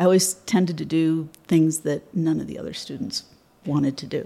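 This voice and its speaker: Vocal fry runs through a dark, mellow tone delivered in a Midwestern American accent. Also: woman. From Michigan, near Detroit. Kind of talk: interview. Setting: studio.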